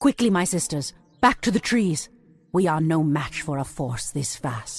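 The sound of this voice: A woman's put-on character voice, low-pitched with a slightly husky edge and big pitch swings, at a fairly slow pace in a very clean recording with a silent background.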